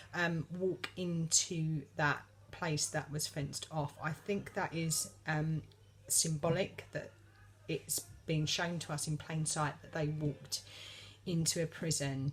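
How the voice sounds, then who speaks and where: Somewhat breathy and very deep and low in pitch, a woman speaks at a very slow pace. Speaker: vlogger. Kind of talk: casual monologue. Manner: hesitant, many fillers.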